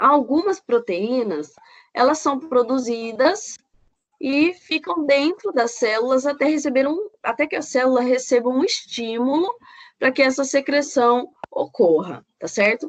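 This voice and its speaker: A woman speaks at a fairly slow pace in a high-pitched voice with lively intonation. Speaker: biochemistry professor. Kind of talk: lecture. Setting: recorded online class. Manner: halting, with fillers.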